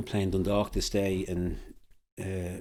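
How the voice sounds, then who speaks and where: A man's very deep, low voice in a Dublin accent, monotone and flat, in a very clean recording with a silent background. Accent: Irish (Dublin). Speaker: former football manager. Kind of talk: podcast interview. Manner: halting.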